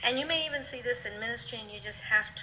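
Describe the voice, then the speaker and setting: American accent amid noticeable background noise and audible room echo. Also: woman. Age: 60s. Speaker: pastor. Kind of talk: interview.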